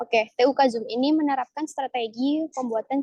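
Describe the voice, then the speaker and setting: Woman in an East Javanese accent, high pitch, dark, mellow tone, fairly even intonation, fairly quick pace, dry, close sound with no echo. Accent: Surabaya-Pasuruan accent slipping in. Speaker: alumni speaker at student workshop. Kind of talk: online presentation. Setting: video call. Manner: casual, filler-heavy.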